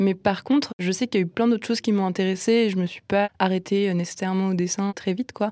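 A woman talks at a very fast pace with hardly any pauses, her medium pitch held to fairly even intonation. The sound is dry and close, with no echo. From north-eastern France, Nancy. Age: 20s. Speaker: illustrator and art student. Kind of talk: casual interview chat.

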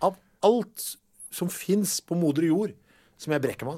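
At a moderate pace, the voice comes through a very clean recording where the background is silent. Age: 50s. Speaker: podcast host. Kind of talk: scripted narration; casual chat. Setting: studio.

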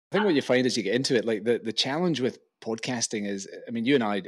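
At a very fast pace, a man speaks in a Glaswegian accent with lively intonation and a medium pitch. The recording is very clean, with a silent background. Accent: Glaswegian Scottish. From Scotland, Glasgow. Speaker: venture investor and podcast host. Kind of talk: interview conversation.

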